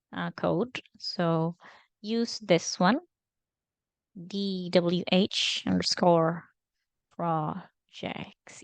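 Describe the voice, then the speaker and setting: Very slowly, a woman speaks at medium pitch with ordinary pitch variation, in a dry, close sound with no echo and a quiet background. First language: not English. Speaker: data engineering intern. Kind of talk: screen-recorded tutorial. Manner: halting, many fillers.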